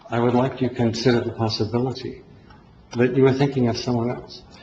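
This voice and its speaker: A man speaks at a fairly quick pace in monotone, flat intonation. Audible room echo and noticeable background noise come through. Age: 60s. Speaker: resident speaking at public comment. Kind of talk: public comment at town hall. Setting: town hall meeting.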